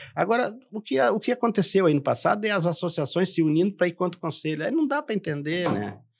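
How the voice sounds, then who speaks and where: A man's high-pitched voice at a fairly quick pace. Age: 70s. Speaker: professional council president, retired dispatcher. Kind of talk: podcast interview. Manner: emphatic, repetitive.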